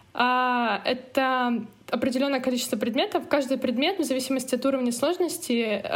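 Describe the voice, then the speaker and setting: Speaking at a moderate pace, the woman has a high pitch. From Russia, Murmansk. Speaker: emigrant student. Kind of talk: interview.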